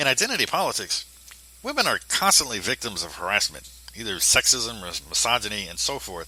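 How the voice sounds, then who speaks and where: A man's voice with noticeable background noise. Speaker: commentator. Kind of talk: commentary monologue. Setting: poor home recording.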